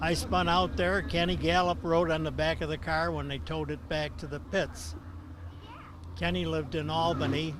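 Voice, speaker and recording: Room echo is audible as a man speaks at a moderate pace with an American accent. Noticeable background noise sits behind him. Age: 80s+. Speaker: retired race car driver. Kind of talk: interview.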